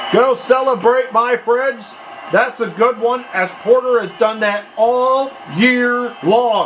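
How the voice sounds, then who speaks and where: A man's extremely high pitch at a very slow pace, with fairly even intonation, over noticeable background noise. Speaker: aspiring sports announcer. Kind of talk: American football play-by-play commentary.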